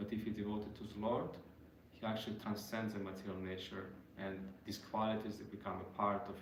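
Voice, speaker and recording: A man with a non-native accent speaks fairly quickly at a fairly low pitch, somewhat breathy. His intonation is flat and monotone, and room echo is audible. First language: not English. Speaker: devotional speaker. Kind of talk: religious talk. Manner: halting.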